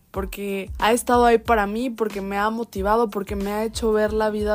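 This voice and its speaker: Flat, monotone intonation runs through a woman's medium-pitched speech. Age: 20s. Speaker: podcast host. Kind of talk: casual monologue.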